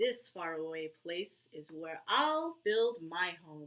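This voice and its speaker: This put-on character voice sits at a middle pitch. It moves at a very slow pace. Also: female-sounding voice. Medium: read story.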